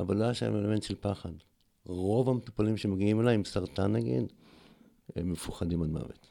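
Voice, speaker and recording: Fairly low in pitch and dark, mellow in tone, a man speaks at a fairly quick pace. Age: 60s. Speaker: cancer survivor and alternative therapist. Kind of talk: interview conversation.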